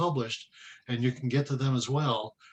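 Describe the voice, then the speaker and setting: The man has an unremarkable speaking voice, a medium pitch and a moderate pace. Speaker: research professor. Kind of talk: training presentation.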